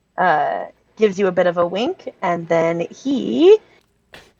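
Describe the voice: The words are read aloud plainly, with lively intonation. Behind the voice, the background is quiet.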